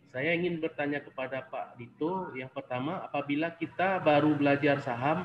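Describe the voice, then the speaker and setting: A man's fairly high voice with a Sumatran accent, fairly even intonation and a moderate pace, amid noticeable background noise. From Aceh, Indonesia. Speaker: webinar participant. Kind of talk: audience question.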